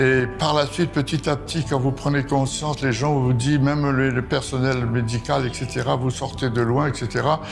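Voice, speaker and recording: With music behind him, a man talks in a monotone, flat intonation at very even loudness, hardly pausing at all. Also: medium pitch for a man, moderate pace. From Madagascar (Tamatave). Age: 70s. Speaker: covid-19 survivor. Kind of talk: testimony. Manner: halting, many hesitations.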